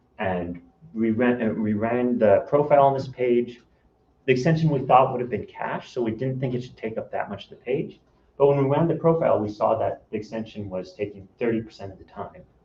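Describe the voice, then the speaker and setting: The speaker goes at a fairly quick pace, somewhat breathy, with ordinary pitch variation. Loudness swings widely, and room echo is audible. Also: man, medium pitch for a man. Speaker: software consultant. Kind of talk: conference talk. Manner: fast.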